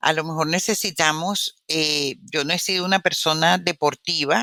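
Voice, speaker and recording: A woman's bright, sharp voice, dry and close with no echo, in a very clean recording against a silent background. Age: 70s. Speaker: immunologist and author. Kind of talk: interview.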